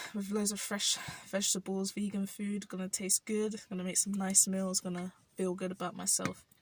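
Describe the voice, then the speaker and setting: Somewhat breathy, a woman's voice proceeds at a moderate pace. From South London, England. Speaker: vlogger. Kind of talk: personal vlog reflection. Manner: halting.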